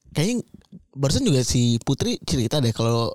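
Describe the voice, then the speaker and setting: A man talks at a very fast pace. The sound is dry and close with no echo. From Tambun, Bekasi (West Java, near Jakarta). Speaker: podcast co-host. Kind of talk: casual chat.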